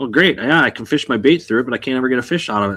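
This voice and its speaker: With a Wisconsin accent, a man speaks at a medium pitch in a very clean recording with a silent background. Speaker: bass fishing podcast co-host. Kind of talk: casual chat. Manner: halting.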